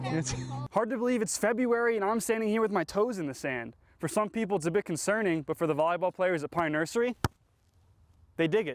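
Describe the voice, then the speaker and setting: Lively intonation rides on a very fast pace of speech. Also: man, high pitch for a man. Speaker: local TV sports anchor and reporter.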